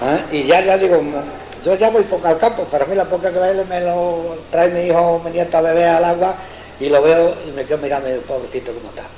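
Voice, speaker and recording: A high male voice, fairly quick in pace, with ordinary pitch variation amid noticeable background noise. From Extremadura, Spain. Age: 70s. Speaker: farmer. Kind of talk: dialect interview answer. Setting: analog tape recording, indoors.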